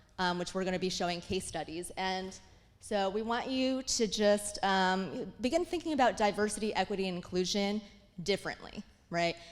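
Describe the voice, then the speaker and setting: A woman at a moderate pace, medium in pitch, with ordinary pitch variation. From immigrant child raised in US. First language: not English. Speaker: diversity consultant. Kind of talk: conference talk.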